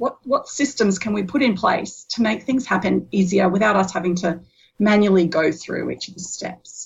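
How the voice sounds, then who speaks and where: Somewhat breathy and at a medium pitch, a woman with an Australian accent speaks at a moderate pace with ordinary pitch variation. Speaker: business community co-founder. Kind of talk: interview.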